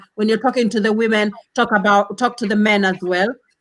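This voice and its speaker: Loud and bright with a sharp tone, a woman talks at a moderate pace in a fairly high pitch. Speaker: panel discussant. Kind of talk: heated debate.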